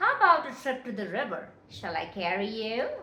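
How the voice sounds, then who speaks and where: A put-on character voice at a moderate pace. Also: woman, fairly high pitch for a woman. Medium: read story.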